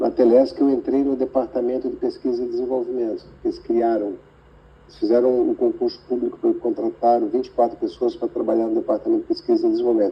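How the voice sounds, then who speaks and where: This man's delivery rushes along very fast. The volume rises and falls dramatically. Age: 60s. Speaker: computer scientist, tech industry veteran. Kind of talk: interview. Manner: halting.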